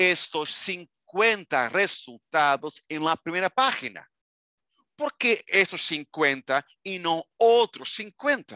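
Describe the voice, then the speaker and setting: A man speaks high-pitched in an animated, bright, sharp tone with very wide pitch swings. The sound is dry with no echo. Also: quiet background. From Portugal. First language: Portuguese (speaking Spanish). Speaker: librarian and software trainer; product trainer. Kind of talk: online training webinar. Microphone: webcam.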